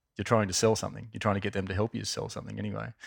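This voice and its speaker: A fairly low-pitched man with an Australian accent on a very clean recording with a silent background. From Australia, Wollongong. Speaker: marketing executive. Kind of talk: interview.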